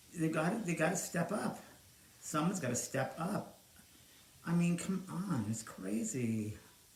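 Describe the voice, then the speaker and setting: A man's fairly high voice with very wide pitch swings, a fairly slow pace, long, frequent pauses, and audible room echo. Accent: American. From New York. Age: 60s. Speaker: psychic medium and livestream host. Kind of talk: casual live stream chat. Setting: home live stream, alone. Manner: animated.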